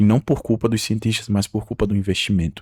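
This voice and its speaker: The recording is very clean, with a silent background and a dry, close sound with no echo. A man speaks with fairly even intonation. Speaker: YouTuber. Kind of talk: unscripted video monologue. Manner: halting.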